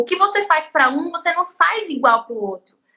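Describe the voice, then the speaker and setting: A woman's raised, projected voice, extremely high in pitch, with a bright, sharp tone and very wide pitch swings. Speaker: podcast host and artisan teacher. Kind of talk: casual interview chat.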